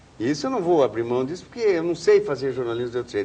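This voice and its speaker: A man talks at a very fast pace. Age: 60s. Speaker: journalist. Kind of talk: interview. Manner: casual, colloquial.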